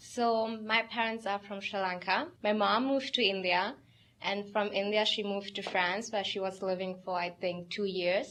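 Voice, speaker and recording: This speaker talks with a Tamil accent and fairly even intonation. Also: woman, medium pitch for a woman, moderate pace. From Germany. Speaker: language student. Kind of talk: interview.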